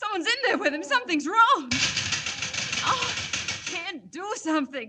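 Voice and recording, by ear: This put-on character voice has a bright, sharp tone and big pitch swings. It moves at a fairly slow pace. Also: woman, extremely high pitch for a woman.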